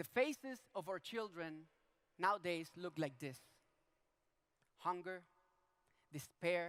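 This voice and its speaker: With a Venezuelan accent, a man speaks very slowly in a high pitch, with ordinary pitch variation and long, frequent pauses. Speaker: politician. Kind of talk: public talk. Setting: stage with audience.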